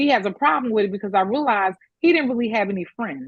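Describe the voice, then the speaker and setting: A woman speaks with a fairly high pitch and an animated tone. Her intonation is lively. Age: 60s. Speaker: caller sharing personal story. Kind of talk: testimony.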